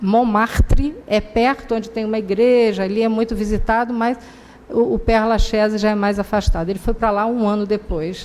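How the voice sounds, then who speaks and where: Here a woman talks at a moderate pace with a fairly high pitch. It is an ordinary speaking voice. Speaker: spiritist lecturer. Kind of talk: lecture. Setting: public talk at a spiritist center.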